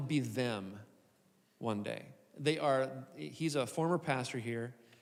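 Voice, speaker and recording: Audible room echo surrounds a man whose lively intonation is broken by long, frequent pauses. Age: 60s. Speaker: lead pastor. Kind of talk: live podcast conversation on stage. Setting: stage with live audience.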